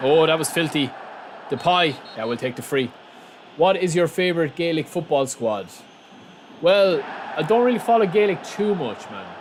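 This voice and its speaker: A man with an Irish accent speaks in a fairly high pitch with lively intonation. He leaves long, frequent pauses, and noticeable background noise is audible. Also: moderate pace. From Republic of Ireland, outside Dublin. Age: 30s. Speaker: gaming streamer. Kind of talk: live gameplay stream chat. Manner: casual; animated.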